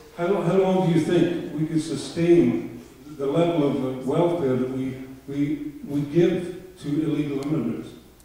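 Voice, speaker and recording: A man's fairly high voice moves at a fairly slow pace with fairly even intonation, accompanied by audible room echo and noticeable background noise. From Scotland. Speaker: audience member asking a question. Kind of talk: audience question at debate. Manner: halting.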